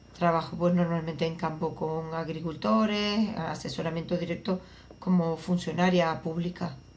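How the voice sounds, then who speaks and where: A woman speaks at a moderate pace in a fairly low pitch, with fairly even intonation. Some room echo can be heard. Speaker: agricultural researcher. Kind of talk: interview.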